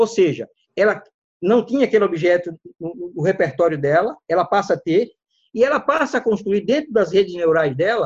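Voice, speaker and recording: A man's lively intonation over a quiet background. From Alagoas, Brazil (Northeast), raised in Maceió. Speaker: data scientist. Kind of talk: interview conversation. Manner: halting, frequent repetitions.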